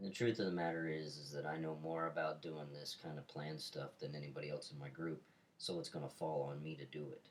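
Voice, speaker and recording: The voice moves at a fairly quick pace. Its intonation stays fairly even. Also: man. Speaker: student. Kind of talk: role-play counseling session.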